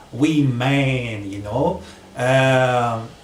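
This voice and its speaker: A man at a medium pitch, with ordinary pitch variation, is heard with audible room echo and noticeable background noise. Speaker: spiritual small business owner. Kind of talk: casual vlog monologue. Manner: hesitant, many fillers.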